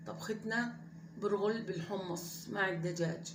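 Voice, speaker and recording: A woman with a Levantine accent speaks with fairly even intonation, with audible room echo and noticeable background noise. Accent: her own everyday Levantine dialect. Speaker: home cooking vlogger. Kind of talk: cooking tutorial, casual chat. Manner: conversational, hesitant with fillers.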